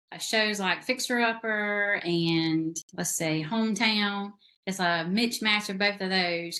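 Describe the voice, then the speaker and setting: A woman with a Southern US accent talks at a very slow pace, her medium pitch showing ordinary variation and her tone bright and sharp. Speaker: novelist. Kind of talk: casual interview chat.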